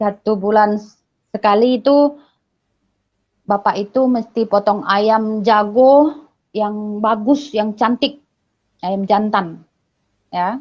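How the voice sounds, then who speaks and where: Speaking at a very slow pace with long, frequent pauses, a woman with a fairly high pitch uses ordinary pitch variation. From Batak, North Sumatra, Indonesia. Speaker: religious convert. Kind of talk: testimony.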